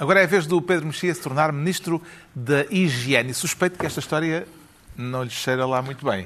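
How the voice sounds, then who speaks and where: A man with a normal speaking voice talks fairly quickly, his fairly high pitch showing ordinary variation. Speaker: panel show moderator. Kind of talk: panel discussion.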